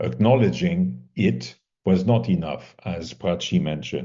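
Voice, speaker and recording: In a French accent, a man with a fairly low voice speaks very slowly, his intonation lively. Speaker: mediation competition assessor. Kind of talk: feedback to competitors. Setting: video call.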